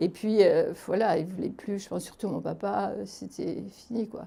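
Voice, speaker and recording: The voice has a dark, mellow tone with vocal fry. It moves at a fairly slow pace with fairly even intonation. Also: woman. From France, Aveyron (Roquefort). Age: 70s. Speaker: retired social worker and theatre performer. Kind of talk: interview testimony. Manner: hesitant, many fillers.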